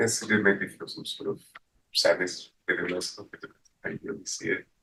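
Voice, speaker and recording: A man talks quietly at a fairly quick pace. His loudness swings widely. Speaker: prospective juror. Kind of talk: answering questions in court. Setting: courtroom. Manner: laid-back.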